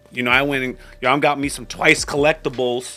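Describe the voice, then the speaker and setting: Music in the background behind a man speaking at a fairly high pitch. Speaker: YouTube reviewer. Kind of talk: casual commentary.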